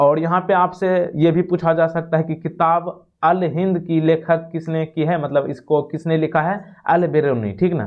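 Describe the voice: A man with a fairly high pitch speaks at a moderate pace, his intonation fairly even and his pauses few.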